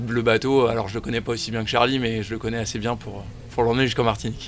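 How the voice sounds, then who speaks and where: Over music in the background, a man talks at a very fast pace, his medium-pitched voice monotone with flat intonation. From France, Paris region. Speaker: offshore sailor. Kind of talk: interview.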